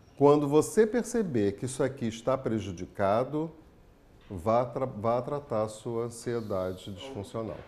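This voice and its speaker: In a room with audible echo, a man speaks at a moderate pace and medium pitch, with ordinary pitch variation and a dark, mellow tone. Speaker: spiritist lecturer. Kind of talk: lecture.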